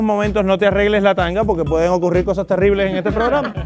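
A high-pitched man at a very fast pace, with clear music in the background. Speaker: TV show host. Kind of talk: live TV show hosting. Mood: joking, flirtatious showman. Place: studio. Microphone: lapel.

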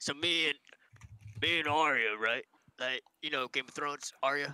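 A man speaks at a fairly slow pace in a fairly high pitch. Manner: rambling, hesitant.

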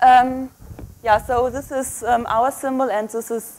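A woman with a German accent, at a fairly slow pace. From Germany. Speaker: microbiology researcher; guest lecturer. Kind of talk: lecture. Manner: hesitant with fillers. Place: hall.

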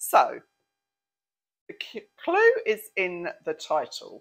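A British accent against a quiet background. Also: woman. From England. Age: 60s. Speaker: lifestyle vlogger. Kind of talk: product review. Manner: chatty, frequent ums and hesitations. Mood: playful, amused. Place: home room. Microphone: lapel.

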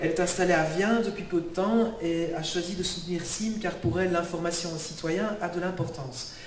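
A man's high-pitched voice at a moderate pace with hardly any pauses, amid audible room echo and light background noise. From Belgium. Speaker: local election candidate. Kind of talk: public speech. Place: hall. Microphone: handheld.

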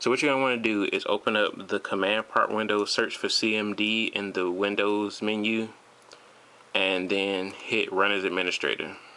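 With a normal speaking voice, a man talks at a moderate pace in a fairly low pitch, keeping very even loudness and fairly even intonation. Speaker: tech tutorial maker. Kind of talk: tutorial. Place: home room.

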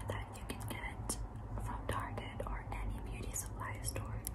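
Whispering and soft-spoken, a woman talks at a fairly slow pace. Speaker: beauty vlogger. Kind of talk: ASMR makeup bag show-and-tell to camera. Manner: whispered, soft, close to the microphone. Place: home room. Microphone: phone near.

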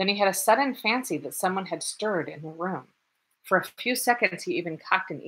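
Quiet surroundings and plain reading aloud

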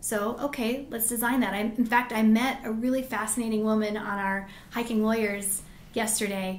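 In an American accent, a woman with a fairly high voice talks at a moderate pace in a monotone, flat intonation, with audible room echo. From Colorado mountains (Grand Lake); Colorado. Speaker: lawyer and business owner; lawyer. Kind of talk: interview. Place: meeting room.

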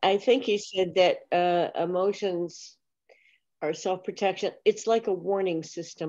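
A woman's dark, mellow voice at a fairly slow pace, with fairly even intonation and a quiet background. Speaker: class teacher. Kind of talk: class discussion. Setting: video call. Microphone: webcam.

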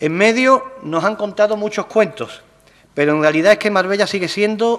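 At a moderate pace, a man speaks with a high pitch and lively intonation. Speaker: local politician. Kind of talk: political speech. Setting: council plenary session. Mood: critical, argumentative. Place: hall. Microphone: podium.

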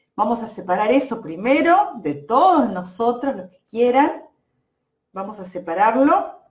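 A woman speaks in an Argentine accent at a fairly high pitch. She goes at a fairly slow pace, with very wide pitch swings. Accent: Argentine Spanish (rioplatense voseo). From Argentina, Santa Fe province. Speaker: energy healer and therapist. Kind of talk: live-stream energy healing session. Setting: Facebook live stream. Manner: hesitant, many fillers.

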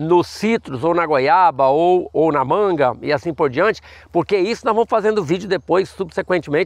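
A high-pitched man speaks at a moderate pace with lively intonation. The sound is dry with no echo over a quiet background. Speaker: fruit nursery owner and farming educator; farming educator. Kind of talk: tutorial. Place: farm machine.

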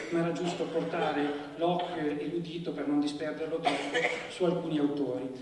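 With audible room echo and light background noise, a man talks at a fairly quick pace in a monotone, flat intonation at a fairly high pitch. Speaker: literary critic introducing the event. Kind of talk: formal lecture-style introduction. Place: stage.

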